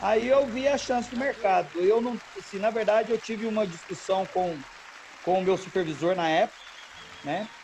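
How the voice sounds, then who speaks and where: Noticeable background noise surrounds a man speaking at a high pitch and moderate pace. His delivery has ordinary pitch variation and long, frequent pauses. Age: 40s. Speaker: wedding and event photographer. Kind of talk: casual interview chat.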